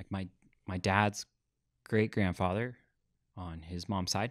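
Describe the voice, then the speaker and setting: Against a quiet background, a man speaks at a moderate pace. His very deep, low voice stays monotone and flat. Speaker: podcast guest. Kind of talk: interview answer. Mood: earnest storytelling. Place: studio. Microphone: studio mic.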